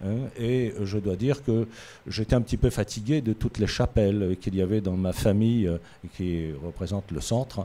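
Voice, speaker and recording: A man's voice is fairly low in pitch, with a dark, mellow tone. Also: ordinary pitch variation, moderate pace. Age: 60s. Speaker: municipal election candidate. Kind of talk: interview. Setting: studio. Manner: halting, frequent hesitations.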